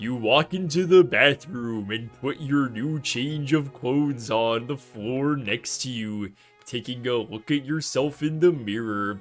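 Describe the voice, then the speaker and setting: Putting on a character voice, a man speaks at a fairly slow pace and medium pitch while faint music plays in the background. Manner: narrating, storytelling.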